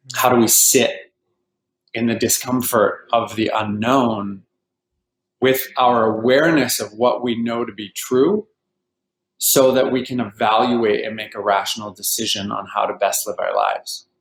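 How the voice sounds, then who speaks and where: An unremarkable speaking voice from a man with a Canadian accent, medium in pitch and at a fairly slow pace. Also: fairly even intonation. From Vancouver, Canada. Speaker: healer and life coach. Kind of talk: interview.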